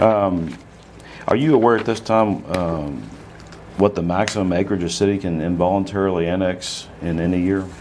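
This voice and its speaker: The room echo is audible, and the pitch varies in a normal way. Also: man, very deep, low pitch for a man. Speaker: attorney. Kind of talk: legal deposition questioning. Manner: fast; formal.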